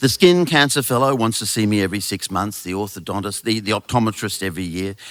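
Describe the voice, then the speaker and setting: A man with an Australian accent talks at a very fast pace in a fairly low voice, his intonation lively. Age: 60s. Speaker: author and storyteller. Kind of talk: live storytelling to an audience. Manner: comic, wry delivery.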